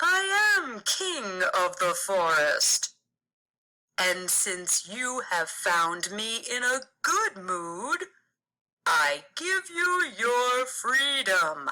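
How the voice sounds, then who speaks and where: Here is a put-on character voice at a fairly high pitch, with very wide pitch swings. It moves at a very slow pace. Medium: read story.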